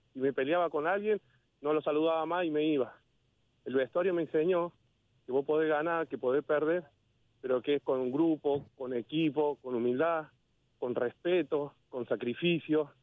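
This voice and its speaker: Long, frequent pauses break up a man's moderately paced speech. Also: fairly high pitch for a man, ordinary pitch variation. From Córdoba, Argentina. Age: 40s. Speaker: former lower-league footballer and railway worker. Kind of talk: interview. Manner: animated.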